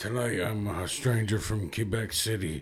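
A man's put-on character voice with ordinary pitch variation. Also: fairly low pitch for a man, moderate pace.

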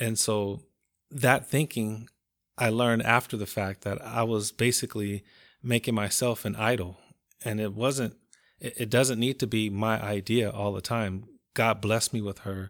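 In a normal speaking voice, a man with an American accent talks at a moderate pace in a fairly low pitch with fairly even intonation, on a very clean recording with a silent background. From Compton, California. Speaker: marriage ministry leader. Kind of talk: casual chat.

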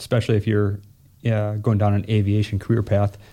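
A man speaks at a fairly low pitch with a dark, mellow tone. The recording is very clean, with a silent background. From southern Minnesota, rural small town. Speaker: airport executive director. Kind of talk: casual interview. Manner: halting, many fillers.

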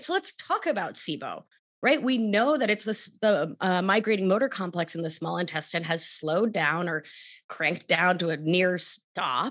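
A woman with a New York accent talks at a moderate pace with very wide pitch swings against a quiet background. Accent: New York American. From Argentina, raised in New York. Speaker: somatic life coach and nurse practitioner. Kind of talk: casual interview.

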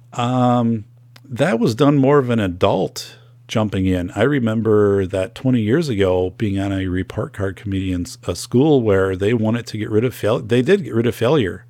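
A man talks at a medium pitch with an Upper Midwest accent and a dark, mellow tone. The recording is very clean, with a silent background. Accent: Upper Midwest American. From northern Wisconsin. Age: 40s. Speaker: podcast host, school safety expert. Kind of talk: solo podcast monologue.

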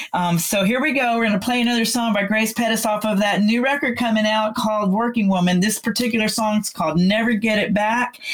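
A woman speaks at a very fast pace with hardly any pauses, in an American accent and a fairly high pitch. Her loudness stays very even and her intonation fairly even, with noticeable background noise. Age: 60s. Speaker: music radio host and singer. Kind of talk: casual radio interview.

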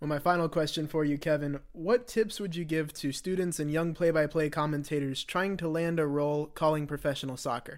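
Here a man with a normal speaking voice talks at a fairly quick pace. His pitch is fairly high and his intonation fairly even. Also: hardly any pauses. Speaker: podcast host. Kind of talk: interview.

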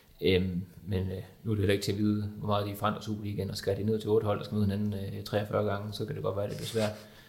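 Audible room echo surrounds a man talking at a very fast pace. His fairly low pitch stays monotone and flat. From Denmark, Viborg. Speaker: journalist and football fan. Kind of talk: panel discussion.

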